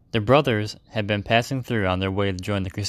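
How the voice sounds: In a natural reading voice, the speaker keeps a fairly even intonation.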